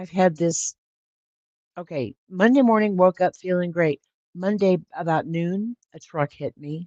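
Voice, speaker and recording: With a dark, mellow tone and a fairly low pitch, a woman talks at a moderate pace with ordinary pitch variation in a dry, close sound with no echo. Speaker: video host. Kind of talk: livestream talk. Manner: casual.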